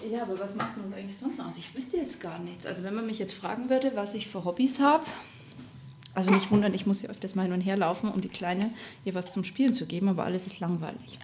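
A woman talks at a very fast pace with big swings in loudness, and audible room echo can be heard. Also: medium pitch for a woman, ordinary pitch variation. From Upper Bavaria (Rosenheim). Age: 30s. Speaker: podcast co-host, mother, Instagram creator. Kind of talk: casual chat.

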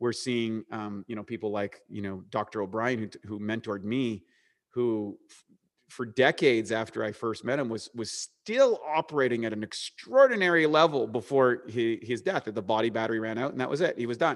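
With a slight Canadian accent, a man speaks at medium pitch with ordinary pitch variation and big swings in loudness. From eastern Canada. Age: 40s. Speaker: supplement company co-founder and bodybuilder. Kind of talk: interview.

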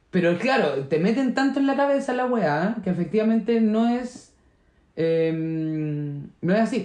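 Talking at a fairly slow pace, a high-pitched man with a Chilean accent lets his pitch swing very widely. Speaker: podcast co-host. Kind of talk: casual chat.

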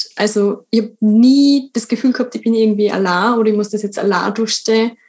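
Her pitch is fairly high as this woman talks with monotone, flat intonation. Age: 20s. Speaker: writer. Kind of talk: casual chat.

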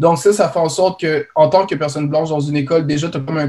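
Somewhat breathy and dark, mellow in tone, a man's fairly high voice moves at a fairly quick pace. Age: young. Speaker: college student, spokesperson. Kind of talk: panel discussion.

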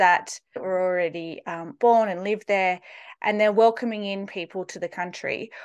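In an Australian accent, a woman speaks at a moderate pace with ordinary pitch variation. The background is quiet. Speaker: podcast host. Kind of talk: casual interview.

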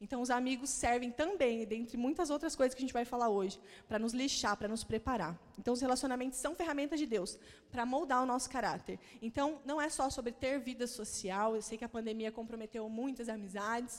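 A woman's high voice moves along at a fairly quick pace. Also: ordinary pitch variation. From Paraná, Brazil (Maringá). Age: 30s. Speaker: pastor. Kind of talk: sermon.

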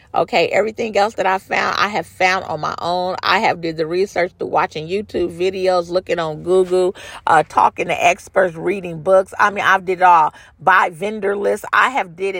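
In a dry, close sound with no echo, a woman speaks at a medium pitch and a moderate pace with fairly even intonation. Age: 50s. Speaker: beauty supply store owner. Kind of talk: casual monologue.

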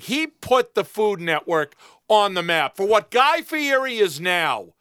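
With a bright, sharp tone and very wide pitch swings, a man projects a raised voice in a dry, close sound with no echo. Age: 50s. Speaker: podcast co-host. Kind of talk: casual chat. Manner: animated.

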